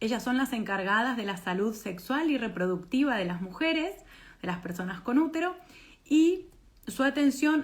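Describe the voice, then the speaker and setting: A woman with an Argentine accent speaks at a moderate pace in a high voice that swings very widely in pitch. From Argentina. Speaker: doula trainer. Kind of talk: online presentation.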